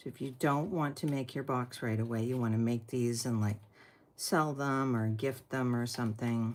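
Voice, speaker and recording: On a very clean recording with a silent background, a woman with a very deep, low pitch speaks at a moderate pace with fairly even intonation. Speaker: papercraft tutorial host. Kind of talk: tutorial. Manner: casual.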